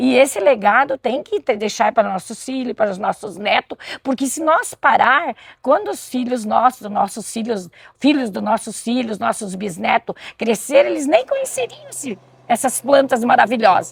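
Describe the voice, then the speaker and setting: A woman's ordinary speaking voice, fairly high in pitch with lively intonation, in a dry, close sound with no echo. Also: moderate pace. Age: 60s. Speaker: community medicinal garden volunteer. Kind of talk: interview.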